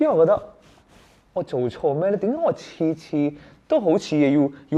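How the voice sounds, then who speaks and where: The tone is dark and mellow. Pitch swings are very wide. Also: man. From Hong Kong. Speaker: stand-up comedian. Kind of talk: interview answer.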